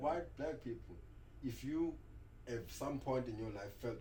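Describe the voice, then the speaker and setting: A man speaks at a fairly quick pace and a medium pitch. His tone is dark and mellow, with vocal fry. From South Africa. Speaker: rapper. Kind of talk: interview answer.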